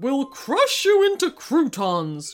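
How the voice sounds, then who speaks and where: A put-on character voice growls over faint music in the background. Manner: menacing, growling.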